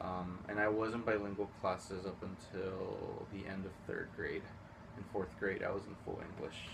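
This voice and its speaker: A man with a Spanish accent, fairly low-pitched, at a moderate pace in a monotone, flat delivery, with audible room echo. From Houston, Texas. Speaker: high school teacher. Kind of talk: interview.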